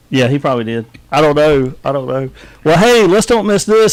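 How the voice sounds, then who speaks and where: A man with a Southern US accent and very wide pitch swings. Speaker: radio host. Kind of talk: casual chat; birthday announcements. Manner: casual, halting.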